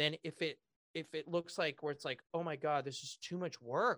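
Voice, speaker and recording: A man with a Californian accent and a fairly high pitch talks with fairly even intonation on a very clean recording with a silent background and a dry, close sound with no echo. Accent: Californian American. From Southern California (near Pasadena). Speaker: real estate entrepreneur and author. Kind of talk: interview.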